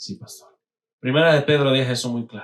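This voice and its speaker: A man talks in an animated tone. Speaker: pastor. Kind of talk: sermon.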